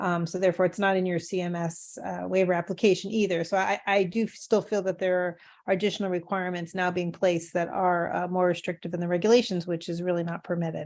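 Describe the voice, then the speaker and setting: A woman with a fairly low pitch talks at a very fast pace with hardly any pauses. Her intonation is monotone and flat over a quiet background. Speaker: service provider stakeholder. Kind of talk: virtual public forum debate.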